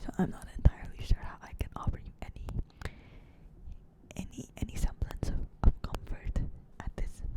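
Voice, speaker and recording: Whispering throughout. The pace is moderate. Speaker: barista. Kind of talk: ASMR whisper talk to camera. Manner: soft-spoken, hesitant, reflective.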